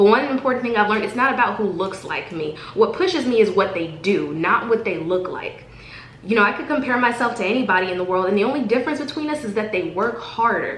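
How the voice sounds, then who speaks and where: Talking at a very fast pace, a woman with a fairly high pitch and lively intonation is heard amid audible room echo and noticeable background noise. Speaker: vlogger. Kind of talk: motivational vlog monologue. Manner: halting.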